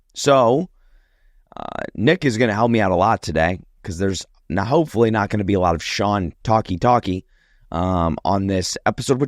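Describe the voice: At a moderate pace, a put-on character voice comes through hoarse and raspy in a very clean recording with a silent background. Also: man, fairly low pitch for a man.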